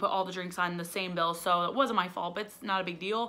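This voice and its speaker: Fairly even intonation marks this woman's speech in a Midwestern American accent. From Indiana. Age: 20s. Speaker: dental hygiene student and cleaning vlogger. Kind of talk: casual storytime talk to camera.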